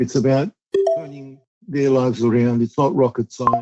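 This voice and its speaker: At a moderate pace, a man talks in a medium pitch. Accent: Australian. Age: 60s. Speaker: youth justice advocate. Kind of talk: interview. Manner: emphatic, repetitive.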